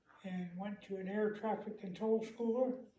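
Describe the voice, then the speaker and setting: In a room with audible echo, a man talks at a fairly slow pace and a high pitch with monotone, flat intonation. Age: 70s. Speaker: war veteran. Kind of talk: interview. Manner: halting.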